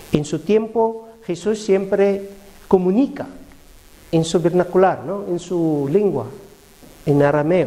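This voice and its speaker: Very slowly and with long, frequent pauses, a man with a non-native accent speaks at a high pitch with ordinary pitch variation over noticeable background noise. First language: not Spanish (speaking Spanish). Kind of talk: religious teaching talk. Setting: parish prayer group meeting. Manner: halting, with hesitations.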